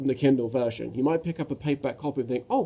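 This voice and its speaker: Speaking very fast with a British accent, a man uses a fairly high pitch and fairly even intonation. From Britain. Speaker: self-published author. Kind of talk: casual talk to camera. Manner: halting, many fillers and restarts.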